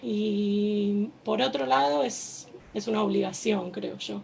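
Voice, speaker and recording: A woman of medium pitch with an Argentine accent is heard through noticeable background noise and audible room echo. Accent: Argentine Spanish, noticeable to listeners. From Argentina, Buenos Aires. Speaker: army reservist, activist. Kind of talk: personal testimony at panel event. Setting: stage with audience. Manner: hesitant, many fillers.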